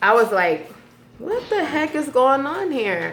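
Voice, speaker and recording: A bright, sharp tone rings out with audible room echo. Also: woman. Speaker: vlogger sharing personal stories. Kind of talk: personal venting monologue. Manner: halting, many fillers.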